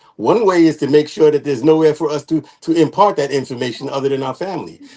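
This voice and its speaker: Talking at a very fast pace, a man uses a fairly high pitch with ordinary variation. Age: 70s. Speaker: panel guest. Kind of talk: panel discussion. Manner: halting.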